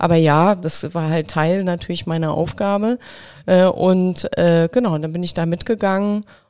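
A woman speaks at a moderate pace with a fairly low pitch and fairly even intonation. Her tone is calm, dark and mellow, on a very clean recording with a silent background. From Mecklenburg, eastern Germany. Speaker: creative agency owner. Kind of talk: interview conversation. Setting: host's studio.

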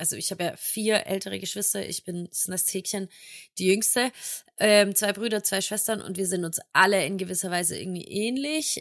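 In a very clean recording with a silent background, a woman with an unremarkable speaking voice talks at a moderate pace, medium in pitch, with ordinary pitch variation. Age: 20s. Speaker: podcast co-host. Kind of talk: casual chat.

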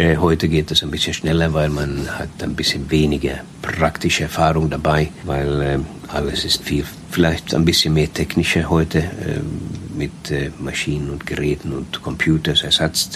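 A man's very deep, low voice in a flat monotone at a moderate pace, with noticeable background noise. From Sweden. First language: Swedish (speaking German). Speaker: cruise ship captain. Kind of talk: interview.

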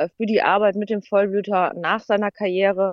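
This woman talks at a moderate pace. Her pitch sits in the medium range. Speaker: racehorse rider, horse welfare campaigner. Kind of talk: interview. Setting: phone call.

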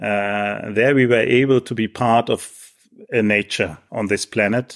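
At a fairly slow pace, a man with a German accent speaks in a fairly low pitch with fairly even intonation, in a dry, close sound with no echo and a very clean recording with a silent background. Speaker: professor. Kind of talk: interview.

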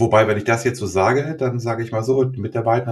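The man's medium-pitched voice moves along at a fairly quick rate. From Germany, Göttingen. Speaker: podcast host, organisational consultant. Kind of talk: interview. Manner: halting.

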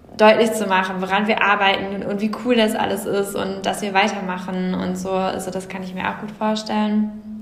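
A woman of medium pitch speaks in a flat monotone at a moderate pace, with audible room echo and noticeable background noise. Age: 20s. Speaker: startup co-founder. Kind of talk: interview.

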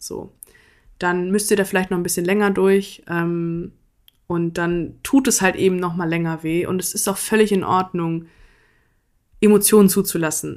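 At a moderate pace with long, frequent pauses, a woman of medium pitch speaks with fairly even intonation in a very clean recording with a silent background. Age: 20s. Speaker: podcaster and student. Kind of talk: casual personal monologue.

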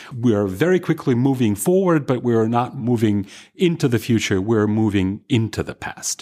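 A man speaks in a Russian accent at a medium pitch and a moderate pace. His intonation is lively, and the recording is very clean with a silent background. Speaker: historian. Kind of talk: interview.

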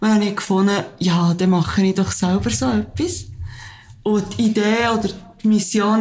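The speaker is a woman with audible room echo around her. Her pitch is medium, with ordinary variation. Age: 30s. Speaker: teacher and support group founder. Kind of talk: interview.

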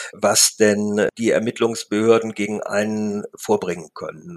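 Very slowly, a man talks in a dry, close sound with no echo. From Lippe region, Ostwestfalen, Germany. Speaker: newspaper reporter. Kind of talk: interview. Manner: hesitant, many fillers.

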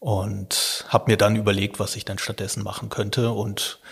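The speaker talks at a moderate pace in a monotone, flat intonation, and the voice is somewhat breathy. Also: man. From Lower Rhine region, Germany. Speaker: journalism professor and science reporter. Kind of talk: podcast interview.

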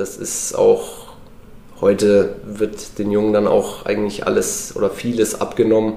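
A man talks over noticeable background noise. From Lower Franconia, Germany (Würzburg area). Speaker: former professional footballer. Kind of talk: casual interview.

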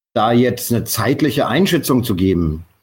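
Lively intonation from a man with a somewhat breathy voice. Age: 50s. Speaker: bar owner and Bitcoin pioneer. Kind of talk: interview. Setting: call. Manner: halting, many fillers.

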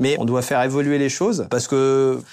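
Male voice at medium pitch, quiet background. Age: 40s. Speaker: winemaker, cellar master. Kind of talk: casual chat. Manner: hesitant, with many fillers.

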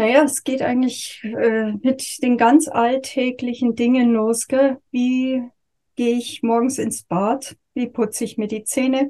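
A dark, mellow voice moves at a very slow pace in a flat monotone. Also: woman, high pitch for a woman. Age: 50s. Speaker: yoga and communication teacher. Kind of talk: interview.

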